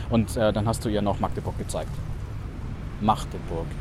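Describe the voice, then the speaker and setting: A man talks at a fairly quick pace. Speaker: journalist podcast co-host. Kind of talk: casual conversation. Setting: outdoors walking in rain.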